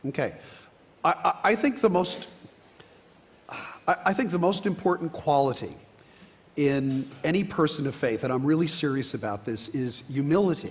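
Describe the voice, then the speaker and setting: Amid noticeable background noise, a man with fairly high pitch and lively intonation talks with long, frequent pauses. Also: moderate pace. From New Jersey. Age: 60s. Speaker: biology professor. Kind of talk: panel discussion. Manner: halting, many fillers.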